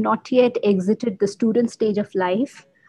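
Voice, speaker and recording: A woman speaks in a Bengali accent at a fairly high pitch. Her intonation is lively. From India (Bengali). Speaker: podcast guest, mindfulness practitioner. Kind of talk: casual interview.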